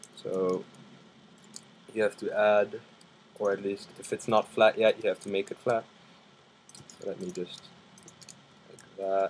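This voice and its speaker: A man talks at a fairly slow pace, leaving long, frequent pauses. His loudness swings widely. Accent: non-native. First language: not English. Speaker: gaming video creator. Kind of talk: live gameplay commentary. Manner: hesitant, many fillers.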